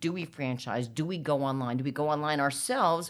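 Speaking with an American accent, a woman uses a very deep, low pitch at a moderate pace. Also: very clean recording, silent background. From New Jersey, US. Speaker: privacy and cyber lawyer. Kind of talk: interview.

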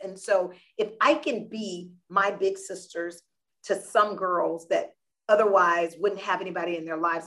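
Speaking at a medium pitch in an American accent, a woman sounds energetic, her tone bright and sharp. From US South, South Florida. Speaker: nonprofit founder. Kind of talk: interview.

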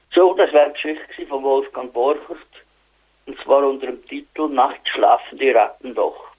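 A man at a moderate pace, in a Swiss accent, with big swings in loudness. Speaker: community radio presenter. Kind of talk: radio presenting. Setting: phone call. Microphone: telephone line quality.

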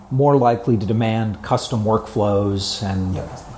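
At a moderate pace and medium pitch, a man talks over noticeable background noise. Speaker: podcast host. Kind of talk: interview, podcast host.

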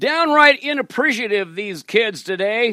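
Raised and projected, a man's high voice carries a bright, sharp tone with ordinary pitch variation. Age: 70s. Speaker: comedic prayer podcaster. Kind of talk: comedic monologue prayer.

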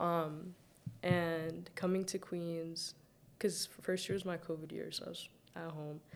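A woman at fairly low pitch and a fairly slow pace, monotone and flat, with big swings in loudness. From Saudi Arabia, Sudanese family. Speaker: university student. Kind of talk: casual chat.

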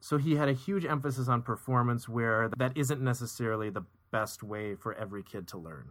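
A man's plain, everyday voice, medium in pitch with ordinary pitch variation. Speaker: podcast co-host, educator. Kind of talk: casual conversational review, analytical. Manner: measured, articulate, analytical.

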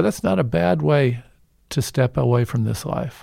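Man with an American accent and very wide pitch swings. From Evansville, Indiana. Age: 60s. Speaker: physician and health care advocate. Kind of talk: radio interview. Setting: studio.

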